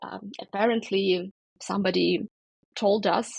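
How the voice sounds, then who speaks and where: Heard in a dry, close sound with no echo, a woman speaks at a medium pitch with fairly even intonation and vocal fry. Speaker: podcast host. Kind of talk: interview conversation. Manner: hesitant, many filler words.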